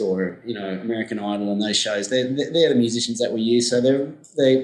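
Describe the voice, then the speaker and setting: A man with an Australian accent at a fairly quick pace, medium in pitch with fairly even intonation, over noticeable background noise. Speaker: music events company founder. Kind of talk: interview. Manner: halting, many repeated words.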